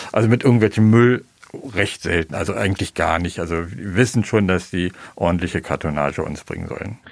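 Speaking in an unremarkable speaking voice, a man goes at a fairly quick pace with ordinary pitch variation. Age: 60s. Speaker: shop owner. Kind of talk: on-site interview. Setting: in his shop.

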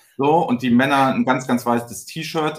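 A normal speaking voice belongs to this male speaker, pitched in the medium range. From northern Germany, Flensburg near the Danish border. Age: 40s. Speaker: company managing director. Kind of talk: casual chat.

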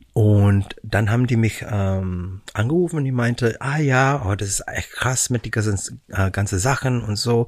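A man speaks at a fairly slow pace, with hardly any pauses, on a very clean recording with a silent background. His medium-pitched voice is somewhat breathy, with ordinary pitch variation. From Canada, Vancouver. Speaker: musical performer. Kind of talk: casual chat. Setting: studio. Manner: halting.

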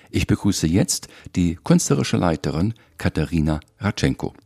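A man's very deep, low voice has a dark, mellow tone, vocal fry and lively intonation. He keeps a moderate pace in a dry, close sound with no echo. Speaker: podcast host, journalist. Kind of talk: scripted intro in German. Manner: hesitant, repeats words.

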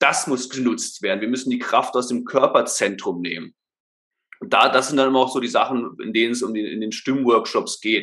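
Bright and sharp in tone, a man's voice sits at a medium pitch with ordinary pitch variation. He talks at a moderate pace. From Germany, Berlin. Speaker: voice and speech trainer. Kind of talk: podcast interview, explaining. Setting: remote call at laptop.

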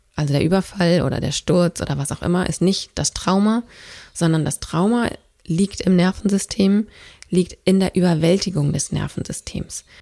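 A woman speaks with a dark, mellow tone and a fairly low pitch. Her pitch varies in an ordinary way at a moderate pace. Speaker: podcast host and trauma educator. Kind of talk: solo educational monologue. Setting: podcast recording.

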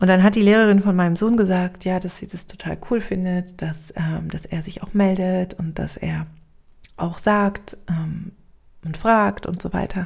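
A woman of medium pitch speaks at a fairly slow pace with fairly even intonation. Her voice is somewhat breathy and has big swings in loudness. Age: 30s. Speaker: podcast host and spiritual coach. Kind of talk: solo reflective monologue. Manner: hesitant with frequent fillers.

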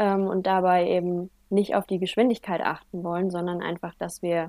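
Over a silent background in a very clean recording, a woman with a dark, mellow tone speaks at a fairly quick pace. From Germany, Franconia (Heideck, Bavaria). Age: 20s. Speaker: motorcycle trial rider and student. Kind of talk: casual interview.

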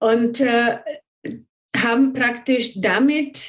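A woman talks at a very slow pace with a fairly high pitch. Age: 40s. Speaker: numerology consultant. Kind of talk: interview conversation.

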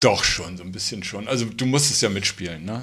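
A man speaks with a fairly low pitch. Audible room echo surrounds the voice. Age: 50s. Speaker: tattoo artist. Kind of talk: casual interview. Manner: calm, quiet.

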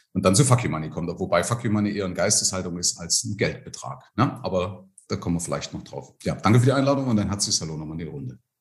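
Talking at a very fast pace with hardly any pauses, a man uses lively intonation in a fairly low, somewhat breathy voice. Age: 50s. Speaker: financial advisor. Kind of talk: casual interview.

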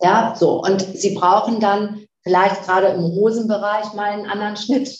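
At a medium pitch, a woman talks at a fairly slow pace with monotone, flat intonation. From northern Germany (Flensburg). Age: 50s. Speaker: fashion company chief executive. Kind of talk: interview.

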